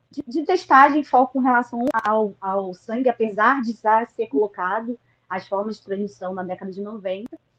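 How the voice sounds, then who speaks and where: Her intonation is lively as a woman speaks in an ordinary speaking voice at a fairly high pitch and moderate pace. The sound is dry and close, with no echo. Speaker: HIV activist. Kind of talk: online panel discussion.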